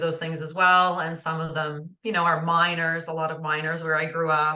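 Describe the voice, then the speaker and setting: In a room with audible echo, a woman with a very deep, low pitch and a bright, sharp tone speaks at a moderate pace in a monotone, flat manner. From northern Ontario, Canada. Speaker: holistic nutritionist. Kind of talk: interview conversation. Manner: hesitant with many fillers.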